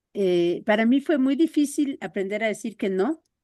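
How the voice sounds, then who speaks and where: Over a quiet background, a woman with a fairly high pitch speaks at a fairly slow pace with lively intonation. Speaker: workshop participant. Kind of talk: personal sharing in group talk. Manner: friendly, calm.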